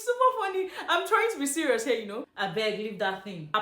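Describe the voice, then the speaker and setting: A woman speaks over noticeable background noise. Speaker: dialect teacher. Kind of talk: casual language lesson to camera. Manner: playful, dramatic.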